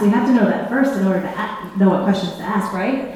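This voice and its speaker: Noticeable background noise and audible room echo, with ordinary pitch variation. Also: woman. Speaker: presenter at a school for the blind. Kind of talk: workshop presentation. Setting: room with live audience and sign interpreter. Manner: fast; animated.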